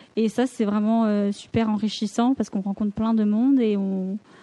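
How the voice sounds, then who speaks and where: A somewhat breathy woman's voice, fairly high in pitch yet dark and mellow in tone, with fairly even intonation at a fairly slow pace, in a dry, close sound with no echo. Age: 20s. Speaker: graphic designer and student entrepreneur. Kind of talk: casual discussion.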